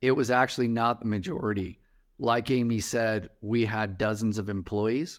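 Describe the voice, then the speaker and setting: A man talks at a medium pitch and moderate pace in a plain, everyday voice. The recording is very clean, with a silent background. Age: 40s. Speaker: startup founder. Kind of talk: interview.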